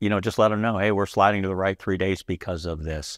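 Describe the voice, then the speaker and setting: Over a quiet background, a man speaks at a fairly quick pace with fairly even intonation in a dry sound with no echo. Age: 50s. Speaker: aircraft paint shop supervisor. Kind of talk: casual interview. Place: office. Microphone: lapel.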